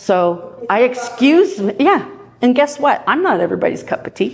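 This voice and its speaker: A woman speaks loudly. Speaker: property manager. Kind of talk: presentation.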